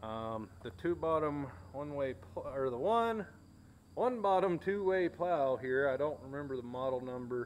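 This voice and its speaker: A man at a fairly slow pace, light background noise underneath. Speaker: tractor owner. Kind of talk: casual tour narration. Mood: relaxed, reminiscing. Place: garage. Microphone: phone near.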